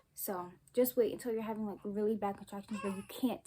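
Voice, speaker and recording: A woman with an American accent speaks at a moderate pace in a fairly high pitch with fairly even intonation, against noticeable background noise. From South Carolina. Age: young. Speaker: young mother, YouTuber. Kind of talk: casual storytime talk to camera.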